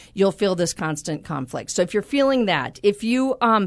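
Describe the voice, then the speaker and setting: A woman with an unremarkable speaking voice talks at a moderate pace with lively intonation over a quiet background. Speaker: life coach. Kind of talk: casual interview chat. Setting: studio.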